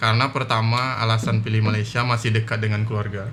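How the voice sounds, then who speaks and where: Against music in the background and audible room echo, a man speaks at a medium pitch. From Batam, Riau Islands, Indonesia. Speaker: software engineer. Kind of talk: casual chat.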